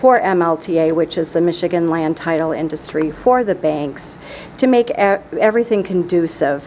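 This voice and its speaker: A woman speaks in a fairly low pitch. Noticeable background noise sits behind her. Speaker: county register of deeds. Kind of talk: prepared public comment. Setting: county committee meeting.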